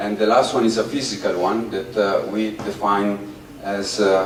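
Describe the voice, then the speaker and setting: With an Italian accent, a man talks in a room with audible echo and noticeable background noise. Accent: Italian, mispronounces th. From Italy. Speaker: performance artist. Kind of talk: public talk to audience. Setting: outdoors in the sun. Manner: halting, many fillers.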